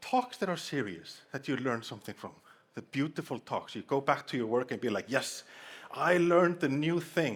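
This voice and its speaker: A man with a strong Icelandic accent and fairly high pitch, lively intonation at a moderate pace, on a very clean recording with a silent background. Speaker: conference speaker. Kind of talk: humorous conference talk. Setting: stage with audience.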